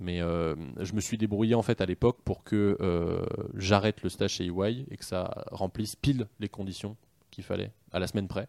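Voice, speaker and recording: A man speaks at a moderate pace and a fairly low pitch, with ordinary pitch variation. The recording is very clean and dry, close with no echo, over a silent background. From France, Paris region. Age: 20s. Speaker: business executive. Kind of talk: interview. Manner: hesitant fillers.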